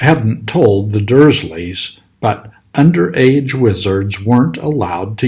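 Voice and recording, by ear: A passage is read out in a natural voice. Its intonation moves in a lively way.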